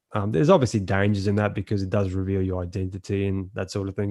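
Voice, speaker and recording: In a very clean recording with a silent background and a dry, close sound with no echo, a man with an Australian accent speaks at a fairly low pitch with fairly even intonation. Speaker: NFT collector. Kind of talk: podcast interview.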